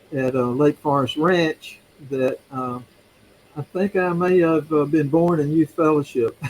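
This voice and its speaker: With an American accent, a man speaks at a fairly slow pace and fairly even intonation. Noticeable background noise is present. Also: fairly high pitch for a man, dry, close sound with no echo. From US South, Mississippi (Yazoo City). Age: 70s. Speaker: retired seminary teacher and ruling elder. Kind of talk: interview. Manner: halting, many fillers.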